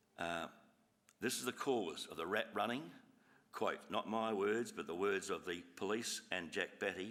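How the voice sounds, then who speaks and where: Using an Australian accent, a man talks at a fairly slow pace and a fairly low pitch with ordinary pitch variation. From Australia, Adelaide (Burnside, South Australia). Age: 70s. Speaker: resident addressing council. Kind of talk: public address to council meeting. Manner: halting.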